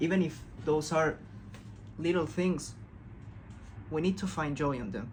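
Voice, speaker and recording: A fairly high-pitched man's voice with vocal fry and a non-native accent, lively intonation, a fairly slow pace with long, frequent pauses, and audible room echo. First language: not English. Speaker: self-help video creator. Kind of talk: casual motivational talk. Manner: calm.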